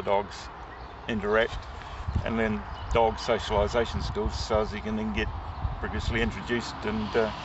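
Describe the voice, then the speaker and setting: Against noticeable background noise, a man with a fairly low voice speaks fairly quickly in a dry sound with no echo. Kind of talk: interview answer. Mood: relaxed, smiling. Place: open country. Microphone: phone near.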